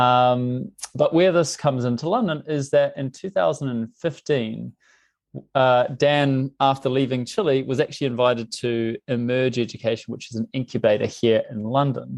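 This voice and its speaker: A man speaks with a New Zealand accent at a medium pitch. The background is quiet. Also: ordinary pitch variation, moderate pace, dry, close sound with no echo. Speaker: tech company CEO. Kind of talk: podcast interview.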